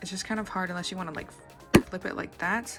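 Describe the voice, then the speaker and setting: Background music accompanies a woman as she talks. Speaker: tech reviewer. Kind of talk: casual talk to camera.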